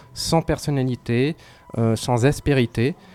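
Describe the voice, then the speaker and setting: Music plays in the background as a man speaks with fairly even intonation. The sound is dry and close, with no echo. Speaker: film critic. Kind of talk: casual chat. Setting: pub.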